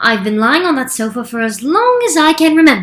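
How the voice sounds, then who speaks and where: A woman puts on a character voice, pitched high. Her pitch swings very widely as she talks at a fairly quick pace. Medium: read story. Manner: languid, cool, abrupt.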